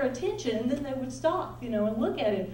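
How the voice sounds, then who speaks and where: A woman speaks loudly in a Southern US accent, with an animated tone and lively intonation. Noticeable background noise and audible room echo fill the recording. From US South, Nashville. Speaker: pastor's wife and ministry speaker. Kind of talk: conference talk. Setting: stage with audience.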